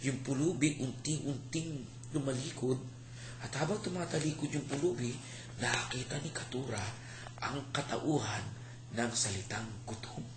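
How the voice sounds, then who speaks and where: A gentle tone, fairly slow pace and ordinary pitch variation, with noticeable background noise. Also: man, medium pitch for a man. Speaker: storyteller. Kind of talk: bedtime story telling, folktale retold aloud to a child and family. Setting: home, family audience, dim room. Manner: gentle, expressive storyteller, slows for emphasis, voices characters' lines.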